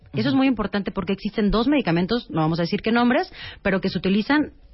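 A somewhat breathy woman's voice at a medium pitch, with very wide pitch swings. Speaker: gynecologist. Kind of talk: interview.

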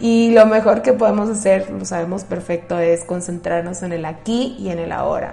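Audible room echo surrounds a woman speaking with fairly even intonation while music plays in the background. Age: 30s. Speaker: podcast host, therapist. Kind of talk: solo podcast monologue. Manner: conversational, with filler hesitations.

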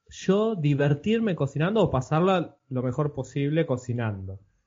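Moving through very wide pitch swings, a man speaks at a moderate pace. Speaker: podcast host. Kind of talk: interview.

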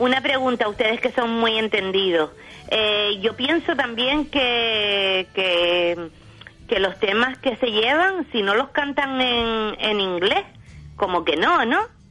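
At a very slow pace and very even loudness, a woman speaks in a fairly high pitch with lively intonation. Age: old. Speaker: Eurovision fan. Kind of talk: casual chat.

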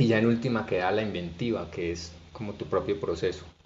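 The man speaks in a plain, everyday voice at fairly low pitch. His pace is fairly quick, with ordinary pitch variation. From Colombia, Barranquilla and Bucaramanga. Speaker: storyteller and cultural manager. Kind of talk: interview conversation.

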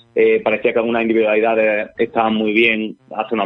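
His pitch sits fairly low for a man. The man speaks at a very fast pace. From Andalusia, Jaén. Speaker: football analyst and film radio host. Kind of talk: casual football talk.

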